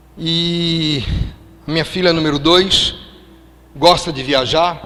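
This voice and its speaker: Room echo is audible and background noise noticeable as a man speaks at a fairly high pitch. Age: 60s. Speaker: preacher. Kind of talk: sermon.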